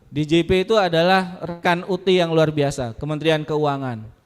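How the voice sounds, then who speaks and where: Animated in tone, a man speaks at a moderate pace in a fairly high pitch with ordinary pitch variation. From Lampung, southern Sumatra, Indonesia. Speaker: university staff speaker at student orientation. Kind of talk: motivational talk to new students. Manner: animated, interactive with audience.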